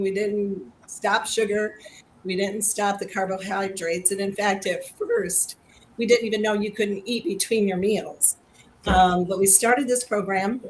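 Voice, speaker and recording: Against noticeable background noise, a woman talks at a moderate pace in a medium pitch with fairly even intonation. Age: 60s. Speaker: health program participant. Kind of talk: testimony. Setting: video livestream.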